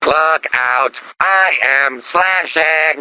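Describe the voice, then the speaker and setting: The voice is a put-on character voice pitched in the middle range. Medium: video game. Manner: flat, polite, deadpan.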